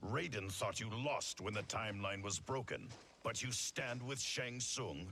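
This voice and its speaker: A man does a put-on character voice at medium pitch. He talks at a moderate pace over clear background noise. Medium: video game. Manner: stern, guarded.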